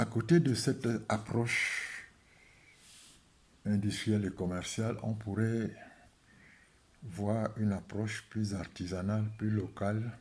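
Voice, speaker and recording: A man speaks at a very slow pace in a somewhat breathy, fairly low voice, with fairly even intonation and long, frequent pauses. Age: 70s. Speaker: statistician economist and spiritual healing advocate. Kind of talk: video talk to camera. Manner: hesitant with frequent fillers.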